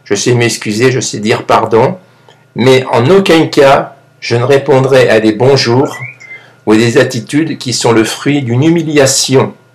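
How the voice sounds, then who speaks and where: Against noticeable background noise, a man talks very slowly at a medium pitch with ordinary pitch variation. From France. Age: 60s. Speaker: YouTube vlogger. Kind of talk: monologue vlog. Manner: halting, repeats words.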